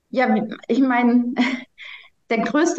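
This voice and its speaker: Room echo can be heard around the speaker. She is a woman whose pitch varies in an ordinary way. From Germany. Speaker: congress organizer. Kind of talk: podcast interview.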